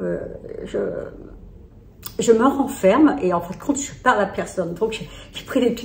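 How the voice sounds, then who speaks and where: Amid audible room echo, a woman with a fairly high pitch talks at a moderate pace with lively intonation, big swings in loudness, and long, frequent pauses. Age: 60s. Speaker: lifestyle vlogger. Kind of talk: personal vlog, confiding talk. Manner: halting, many hesitations.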